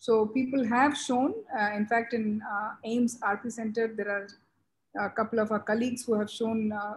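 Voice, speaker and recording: A woman talks at a moderate pace with a fairly high, somewhat breathy voice and monotone, flat intonation, recorded very cleanly over a silent background. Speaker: glaucoma surgeon. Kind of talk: panel discussion.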